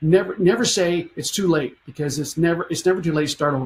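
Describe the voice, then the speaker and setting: A man's normal speaking voice, fairly high in pitch, with ordinary pitch variation. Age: 60s. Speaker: photographer and photography educator. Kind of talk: casual interview talk.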